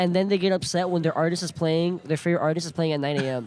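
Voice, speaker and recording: An animated, high-pitched man's voice with an American accent. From South Florida, Broward/Miami-Dade. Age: 20s. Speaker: podcast guest. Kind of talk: casual chat. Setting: live event at a kava bar.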